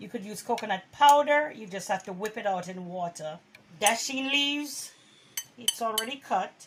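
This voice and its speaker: This woman speaks at a moderate pace with lively intonation and a fairly high pitch, her loudness swinging widely over noticeable background noise. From Jamaica. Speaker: cooking channel host. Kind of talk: cooking tutorial. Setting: home kitchen. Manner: warm, friendly.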